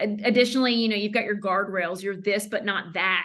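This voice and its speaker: This woman has a Southern US accent, a medium pitch, a bright, sharp tone and ordinary pitch variation. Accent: Southern US, lighter than her mother's. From US South. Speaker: branding consultant. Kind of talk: podcast interview. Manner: frequent fillers and self-restarts.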